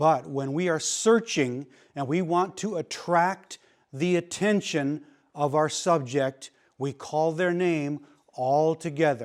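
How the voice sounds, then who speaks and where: On a very clean recording with a silent background, a man with a fairly high pitch speaks at a very slow pace, his pitch varying in an ordinary way. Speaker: search and rescue instructor. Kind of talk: lecture. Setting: classroom. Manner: loud.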